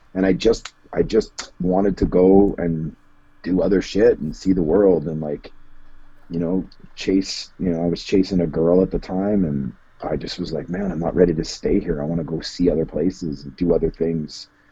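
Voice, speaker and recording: Speaking with a Canadian accent, a man with a very deep, low pitch and a dark, mellow tone talks at a moderate pace with fairly even intonation. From Canada, Edmonton. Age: 40s. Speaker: musician and tattoo artist. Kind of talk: podcast interview. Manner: casual.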